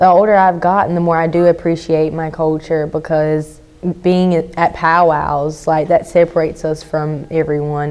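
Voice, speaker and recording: Using an American accent, a woman speaks at a fairly quick pace in a very deep, low pitch with monotone, flat intonation. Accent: Lumbee. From Robeson County, North Carolina (Lumbee). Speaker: interviewee, powwow dancer. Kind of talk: interview testimony.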